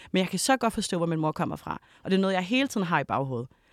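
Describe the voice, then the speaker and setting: A woman with a plain, everyday voice speaks at a medium pitch with lively intonation. The recording is very clean and dry, close with no echo, and the background is silent. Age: 30s. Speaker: documentary maker. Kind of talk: panel discussion. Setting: studio.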